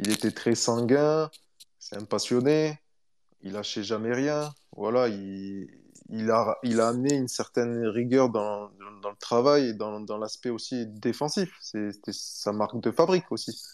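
Against a quiet background, a man with a plain, everyday voice speaks fairly slowly at a medium pitch. His loudness swings widely. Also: ordinary pitch variation. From southern France, Montpellier area. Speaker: former professional footballer. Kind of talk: casual interview.

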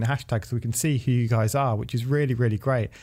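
A man with an English accent talks very fast at medium pitch, his tone dark and mellow and his intonation fairly even, in a very clean recording with a silent background. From England. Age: 30s. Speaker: podcast host. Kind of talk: casual chat. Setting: studio.

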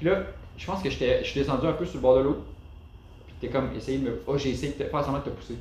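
A man with a Quebec accent, fairly high in pitch and very fast, with long, frequent pauses and audible room echo. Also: ordinary pitch variation. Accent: Québécois French. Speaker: off-road driver. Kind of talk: casual chat.

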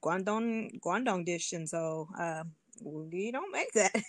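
With a Detroit accent, a woman talks at a fairly slow pace with ordinary pitch variation against a quiet background. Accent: Midwestern American, Detroit. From US Midwest, Detroit. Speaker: language learner and polyglot speaker. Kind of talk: casual interview chat.

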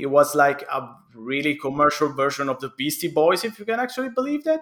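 With an Italian accent, a man talks at a fairly quick pace and a fairly high pitch, using lively intonation. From Italy. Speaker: video game historian. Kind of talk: casual interview.

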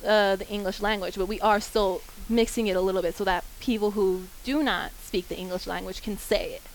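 A woman with an American accent talks in a normal speaking voice at a moderate pace, with ordinary pitch variation. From Kansas, Wichita. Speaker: college student. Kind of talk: group discussion.

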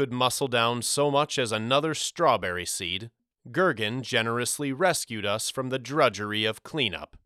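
Quiet surroundings and plain reading aloud, with ordinary pitch variation

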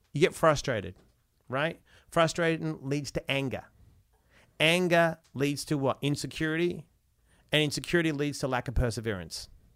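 This man speaks at a fairly high pitch with ordinary pitch variation. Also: moderate pace, very clean recording, silent background. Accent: Australian. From Australia, Perth. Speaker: motivational speaker and author. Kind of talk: interview conversation. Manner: animated.

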